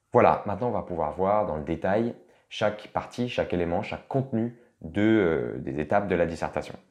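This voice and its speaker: A man with a fairly low pitch speaks with lively intonation. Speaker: law tutor. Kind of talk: tutorial. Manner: fast; casual, hesitant.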